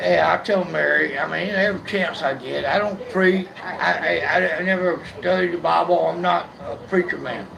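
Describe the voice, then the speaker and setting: Male speech at a moderate pace amid audible room echo and noticeable background noise. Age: 60s. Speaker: blind man sharing his life story. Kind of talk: casual chat. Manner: halting, repeats words.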